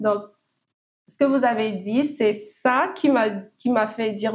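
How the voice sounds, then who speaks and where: This woman's voice is somewhat breathy, with fairly even intonation. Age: 20s. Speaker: podcast guest. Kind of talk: casual chat. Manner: halting.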